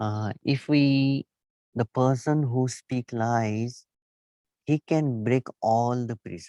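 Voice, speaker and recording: A man with a medium pitch and a dark, mellow tone speaks at a very slow pace. His intonation is fairly even, and the sound is dry and close with no echo. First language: not English. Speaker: Buddhist teacher. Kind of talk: dharma talk. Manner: halting.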